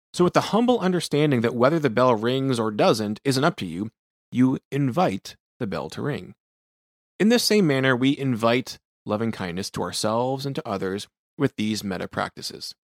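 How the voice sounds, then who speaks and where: A man with a plain, everyday voice at medium pitch, lively intonation and a moderate pace, in a dry, close sound with no echo and a very clean recording with a silent background. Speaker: sleep physician podcast host. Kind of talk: guided meditation.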